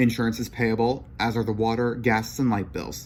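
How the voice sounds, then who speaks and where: Using a put-on character voice that sounds robotic and sing-song, a man talks at a medium pitch and moderate pace over clear background noise. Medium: read story. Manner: sing-song, mechanical.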